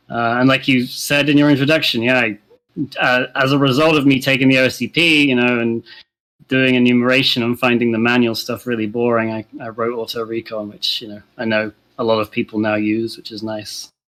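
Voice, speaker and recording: Speaking at a fairly quick pace, a man with a British accent has a bright, sharp tone, a medium pitch and fairly even intonation. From UK. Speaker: penetration tester. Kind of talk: interview. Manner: halting, many fillers.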